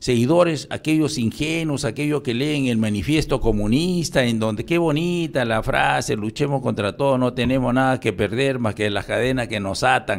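Lively intonation shapes a man's speech. He keeps a moderate pace. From Peru (provinces). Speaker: retired police general; interview guest. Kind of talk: radio interview. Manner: halting. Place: studio. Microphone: studio mic.

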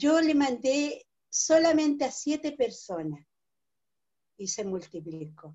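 The background is quiet. A woman with a Chilean accent speaks at a very slow pace. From Chile, Biobío region (Arauco); Biobío region, Chile. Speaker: writer and cultural manager; interviewee. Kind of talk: interview; interview answer. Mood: warm, grateful. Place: home room. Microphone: video call.

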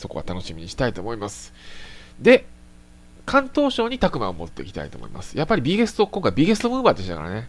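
A man talks at a very fast pace. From Japan, Tokushima Prefecture. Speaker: motorsport live streamer. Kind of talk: casual solo live-stream talk. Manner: polite, filler-heavy (えー, あのー, ね).

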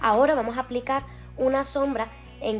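A woman talks at a fairly slow pace with faint music in the background. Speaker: makeup vlogger. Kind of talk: tutorial. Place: home room. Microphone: camera far.

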